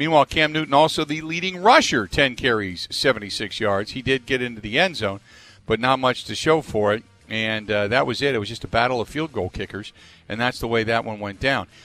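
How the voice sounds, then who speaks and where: Over music in the background, a man speaks at a medium pitch with lively intonation. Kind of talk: sports talk radio show, recapping games. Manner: fast, rattling off scores and stats in a run-on rush; energetic, chatty host delivery.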